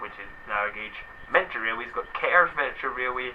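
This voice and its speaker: A man in a Scottish accent over noticeable background noise. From Scotland. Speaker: video blogger. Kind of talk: casual chat.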